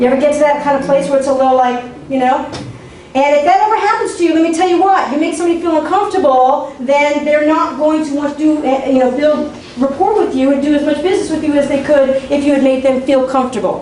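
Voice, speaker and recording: Very fast, animated speech with ordinary pitch variation and very even loudness, plus audible room echo and noticeable background noise. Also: woman, high pitch for a woman. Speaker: workshop speaker on marketing. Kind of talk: workshop talk.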